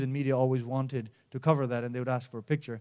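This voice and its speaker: A dark, mellow tone marks this man's voice. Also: quiet background. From Nepal. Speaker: mountaineer and environmental campaigner; conference speaker. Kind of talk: conference presentation. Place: stage. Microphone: handheld.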